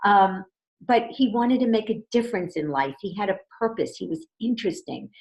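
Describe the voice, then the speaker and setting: A woman with a fairly high pitch talks at a fairly quick pace with lively intonation. Vocal fry runs through her voice. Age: 60s. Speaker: relationship coach. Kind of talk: interview.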